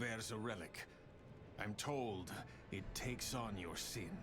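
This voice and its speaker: A man performs a put-on character voice over loud music in the background. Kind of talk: video game dialogue. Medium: game stream. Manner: grim, low-key, laconic.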